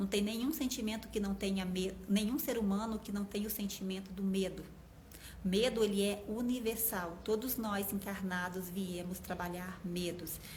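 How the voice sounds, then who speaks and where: A woman speaks at medium pitch and a moderate pace, her intonation fairly even. Noticeable background noise and audible room echo come through. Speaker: numerology coach. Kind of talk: live stream talk. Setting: Instagram live.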